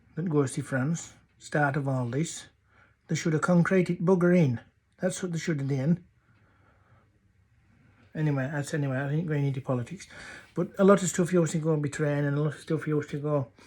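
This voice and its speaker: With a North Yorkshire accent, a man speaks in a somewhat breathy, fairly high voice with fairly even intonation and long, frequent pauses. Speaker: dialect storyteller. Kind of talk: humorous dialect story.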